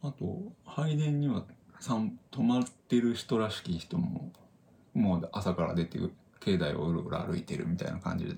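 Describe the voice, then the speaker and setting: At a moderate pace, a man with vocal fry speaks in a medium pitch using very wide pitch swings. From Japan, northern Saitama. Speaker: podcast co-host. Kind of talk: casual chat.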